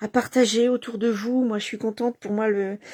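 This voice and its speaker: The tone is dark and mellow, with ordinary pitch variation. The sound is dry and close with no echo, on a very clean recording with a silent background. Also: woman. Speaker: craft demonstrator. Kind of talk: craft tutorial livestream. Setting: home at night. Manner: soft-spoken; halting, many fillers.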